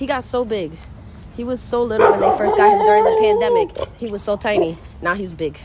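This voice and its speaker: Noticeable background noise sits behind a woman's animated tone. She moves at a fairly quick pace. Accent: New York. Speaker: gardening vlogger. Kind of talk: casual vlog talk to camera. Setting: outdoors walking through the neighborhood. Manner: chatty, animated.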